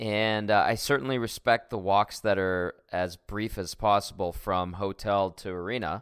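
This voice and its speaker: With a Canadian accent, a man speaks in a plain, everyday voice, fairly low in pitch and fairly even in intonation. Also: very clean recording, silent background. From Edmonton, Canada. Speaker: sports radio host. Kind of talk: casual chat.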